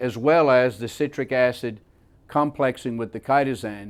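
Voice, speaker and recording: Talking at a moderate pace, a man shows ordinary pitch variation. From south Louisiana, raised in Scotland. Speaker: chemist. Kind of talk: technical lecture.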